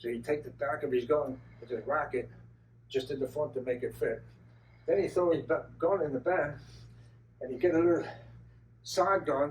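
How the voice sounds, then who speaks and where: With an American accent, a man speaks in a fairly high pitch with vocal fry, ordinary pitch variation and long, frequent pauses. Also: moderate pace. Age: 70s. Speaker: retired auto assembly line worker. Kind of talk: storytelling talk to an audience. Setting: car show talk with audience.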